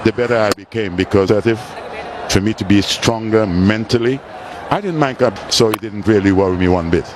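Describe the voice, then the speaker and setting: Delivered at a fairly quick pace with ordinary pitch variation, this voice comes over noticeable background noise. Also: man, fairly low pitch for a man. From Caribbean. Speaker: former cricketer, guest commentator. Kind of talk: live commentary chat. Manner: halting.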